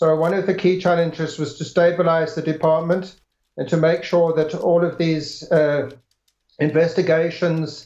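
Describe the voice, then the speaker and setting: With audible room echo, a man in a slight English accent speaks at a moderate pace, his high pitch delivered in a monotone, flat intonation. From South Africa, Pietermaritzburg. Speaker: government official. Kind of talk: interview. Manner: halting.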